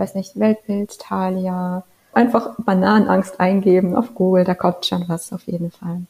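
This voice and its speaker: A woman with an ordinary speaking voice speaks at medium pitch. Her pace is fairly slow, with ordinary pitch variation. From rural Germany. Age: 20s. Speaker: novelist. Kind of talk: interview.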